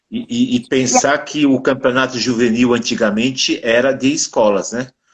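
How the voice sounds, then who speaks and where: Speaking at a moderate pace and medium pitch, a man uses a normal speaking voice. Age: 60s. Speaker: podcast host, former rugby player. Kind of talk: casual interview chat.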